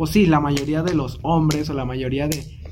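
Speech in a Mexican accent comes in a monotone, flat intonation. Noticeable background noise and audible room echo fill the recording. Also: man. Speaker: podcast co-host. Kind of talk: casual chat.

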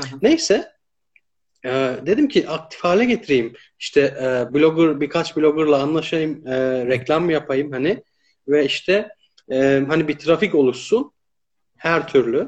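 The man has an unremarkable speaking voice, pitched fairly high, with ordinary pitch variation. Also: fairly slow pace. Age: 30s. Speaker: live stream host. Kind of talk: casual interview.

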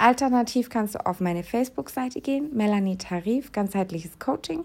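At a moderate pace, a woman talks in a normal speaking voice with lively intonation. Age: 30s. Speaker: podcast host and health coach. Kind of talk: promotional pitch; personal monologue. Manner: casual, with filler sounds.

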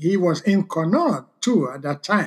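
Here a man speaks in a high pitch. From Sierra Leone. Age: 60s. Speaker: guest, father of host, sharing life story. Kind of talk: casual interview conversation, storytelling.

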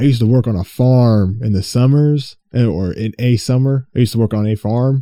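Speaking at a moderate pace, a man uses a dark, mellow tone and ordinary pitch variation. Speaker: podcast host and streamer. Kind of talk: solo casual monologue. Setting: home recording with headphones. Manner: rambling, halting with fillers.

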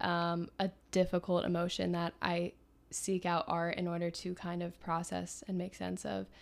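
A woman speaks at a moderate pace with an American accent, her fairly low voice monotone and flat, on a very clean recording with a silent background. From Philadelphia, US. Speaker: aspiring journalist and writer. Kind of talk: casual chat.

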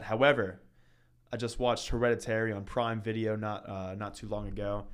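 A man's medium-pitched voice at a fairly quick pace, the intonation fairly even. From Northern Kentucky. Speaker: podcast co-host, college student. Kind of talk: casual chat.

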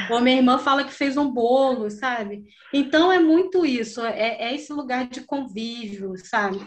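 Moderately paced speech from a woman, high in pitch, with ordinary pitch variation. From Brazil, Rio de Janeiro (Campo Grande). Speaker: visual artist, printmaker. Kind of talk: casual interview.

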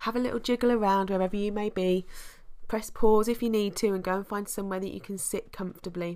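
Speaking at a fairly quick pace with a British accent, a woman uses a medium pitch, ordinary pitch variation and a warm tone. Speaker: podcast host and meditation guide. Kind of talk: guided meditation. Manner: warm, reassuring and encouraging.

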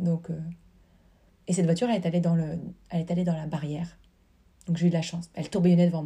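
A woman's fairly low, dark and mellow voice, somewhat breathy and flat in intonation, at a very fast pace with long, frequent pauses. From rural France. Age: 30s. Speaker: dancer. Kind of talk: casual chat. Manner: halting.

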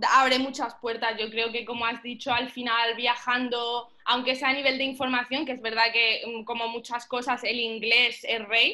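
Hardly pausing, a woman speaks at a moderate pace with high pitch and monotone, flat intonation. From Egypt (Cairo), also lived in Iran and Argentina as a child. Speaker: powerlifting athlete and strength coach. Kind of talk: podcast interview.

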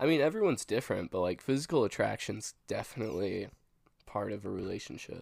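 Vocal fry marks this man's voice. He talks at a very fast pace with lively intonation. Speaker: podcast co-host. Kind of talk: casual chat. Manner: laughs often.

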